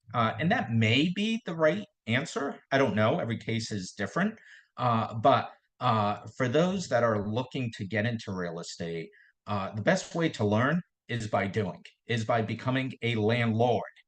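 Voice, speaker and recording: A man speaks with a Boston accent at a moderate pace, somewhat breathy. His intonation is lively, over a quiet background. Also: medium pitch for a man. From Boston area, Massachusetts. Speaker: real estate investor. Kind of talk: podcast interview. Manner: hesitant, many fillers and repetitions.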